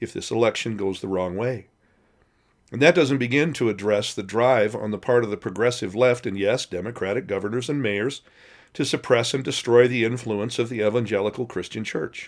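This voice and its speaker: A male voice at a fairly quick pace with ordinary pitch variation, in a very clean recording with a silent background. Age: 60s. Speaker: pastor. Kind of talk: recorded devotional talk.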